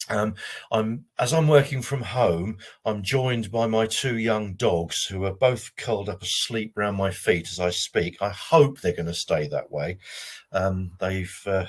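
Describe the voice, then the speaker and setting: Somewhat breathy, this voice moves through ordinary pitch variation. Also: man. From Jersey, Channel Islands. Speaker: careers adviser. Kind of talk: webinar presentation. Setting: online webinar from home.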